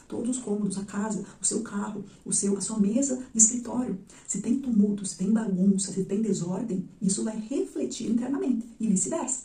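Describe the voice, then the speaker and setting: A soft-spoken woman at a medium pitch talks with hardly any pauses. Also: ordinary pitch variation, moderate pace. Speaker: psychologist. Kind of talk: educational video monologue.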